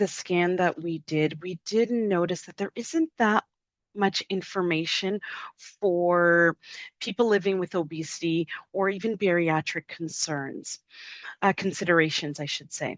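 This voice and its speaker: Recorded with a dry, close sound and no echo, a woman speaks at a fairly slow pace and medium pitch, with long, frequent pauses. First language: French. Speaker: webinar presenter. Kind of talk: webinar presentation.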